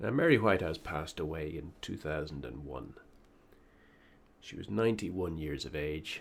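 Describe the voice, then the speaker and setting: With an Irish accent, a man speaks at a moderate pace in a very deep, low pitch, using lively intonation, vocal fry, big swings in loudness and long, frequent pauses. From Ireland. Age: middle-aged. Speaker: political commentator. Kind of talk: opinion monologue.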